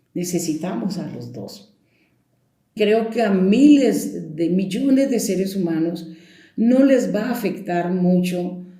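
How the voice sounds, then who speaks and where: Through audible room echo, a woman speaks at a very slow pace. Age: 70s. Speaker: storyteller. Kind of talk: interview. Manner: conversational.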